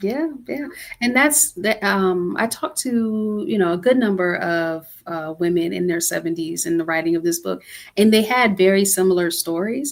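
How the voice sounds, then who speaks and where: This woman has an unremarkable speaking voice with an American accent and medium pitch. She talks at a moderate pace with lively intonation. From US Midwest (Cleveland, Ohio). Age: 40s. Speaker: author. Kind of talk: interview conversation.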